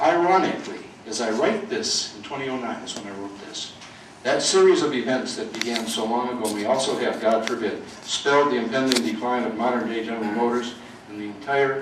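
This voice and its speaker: Over noticeable background noise and audible room echo, a man of medium pitch rushes along at a very fast pace with big swings in loudness. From Detroit, US Midwest. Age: 70s. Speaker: author and retired school administrator. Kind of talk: book reading to an audience. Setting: public library event with audience.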